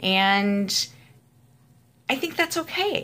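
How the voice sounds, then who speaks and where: A woman's pitch swings very widely as she talks at a very slow pace. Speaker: entrepreneur vlogger. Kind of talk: casual vlog monologue. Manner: hesitant with many fillers.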